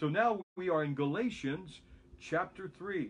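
The man's voice moves with ordinary pitch variation. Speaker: pastor. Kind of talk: bible study teaching. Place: home room. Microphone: phone near.

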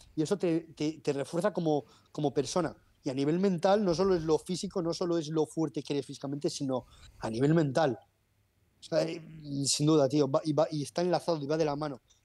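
A man's fairly high voice with a dark, mellow tone, fairly quick pace and fairly even intonation against a quiet background. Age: 30s. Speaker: personal trainer. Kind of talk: interview. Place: home room. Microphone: earbuds.

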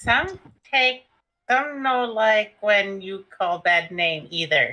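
A female-sounding voice at medium pitch in a put-on character voice. It mumbles at a very slow pace. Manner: halting, mumbling, simple words.

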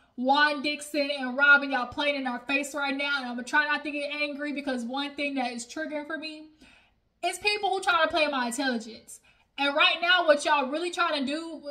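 A raised, projected voice with a bright, sharp tone moves at a fairly quick pace. The background is quiet. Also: woman. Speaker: reality TV review vlogger. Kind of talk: casual vlog chat. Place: home room. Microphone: phone near.

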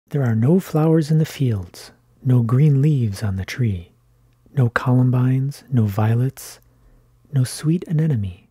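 A man's medium-pitched, somewhat breathy voice with a dark, mellow tone, a calm tone and ordinary pitch variation. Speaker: ASMR creator. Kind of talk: gentle ASMR reading aloud of short classic poems. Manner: soft-spoken, hushed and close, calm unhurried pacing; measured, lilting delivery following the verse rhythm.

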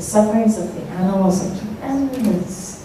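Speaking at a moderate pace and medium pitch, a woman with an American accent is heard through strong room echo and light background noise. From United States. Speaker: Buddhist nun teacher. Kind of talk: Dharma talk to audience. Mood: calm, earnest teaching. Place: hall.

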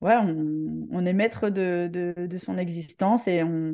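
A woman at medium pitch with a dark, mellow tone, ordinary pitch variation, and a quiet background. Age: 40s. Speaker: hockey coach, former international player; hockey coach. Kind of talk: testimony. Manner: halting, many hesitations. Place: home room. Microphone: video call.

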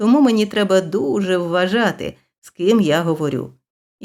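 Over a quiet background, the plain reading aloud shows an ordinary amount of pitch movement.

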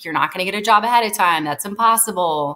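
A woman with an American accent talks at a very fast pace, using ordinary pitch variation. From California, Monterey/Salinas area. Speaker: talent management company co-founder. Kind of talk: interview conversation. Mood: animated storytelling. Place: home room. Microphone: webcam.

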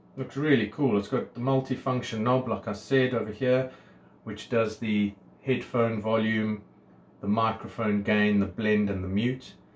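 Audible room echo accompanies a man speaking at a moderate pace with fairly even intonation. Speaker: product reviewer. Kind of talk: casual unboxing review. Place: home room. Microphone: phone near.

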